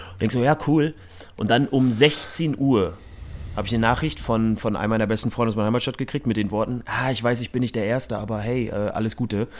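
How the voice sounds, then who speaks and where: A man talks at a very fast pace. His pitch sits in the middle range and varies normally. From northern Germany, Rostock. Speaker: podcast host. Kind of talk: casual chat.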